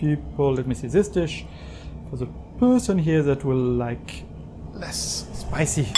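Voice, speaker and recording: Music plays in the background while the speaker goes at a very slow pace. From southern France. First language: French. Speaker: home cook video creator. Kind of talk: cooking tutorial. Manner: casual, conversational.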